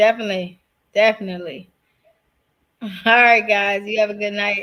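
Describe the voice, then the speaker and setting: The voice is loud, with a bright, sharp tone. It moves at a moderate pace with long, frequent pauses. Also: woman. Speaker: podcast co-host. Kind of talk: casual chat.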